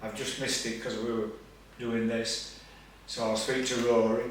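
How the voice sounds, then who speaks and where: Medium-pitched speech from a man with a Yorkshire accent, with audible room echo and noticeable background noise. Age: 60s. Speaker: retired coal miner. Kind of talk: interview.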